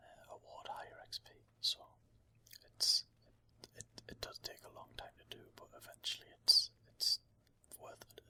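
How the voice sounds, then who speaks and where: Someone is whispering at a moderate pace. The sound is dry and close, with no echo. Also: man. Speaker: ASMR gaming channel host. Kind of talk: casual gaming commentary / walkthrough. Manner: soft-spoken, whispered.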